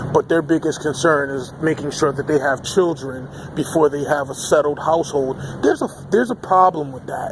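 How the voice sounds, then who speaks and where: Against noticeable background noise, a man's intonation stays fairly even. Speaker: political commentary vlogger. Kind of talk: opinion vlog rant. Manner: halting with fillers.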